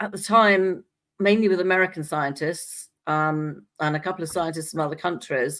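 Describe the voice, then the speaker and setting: With an English accent, a woman speaks at a fairly low pitch and a moderate pace. Her pitch variation is ordinary, and the recording is very clean with a silent background. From England. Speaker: scientist and talk show guest. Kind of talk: casual chat.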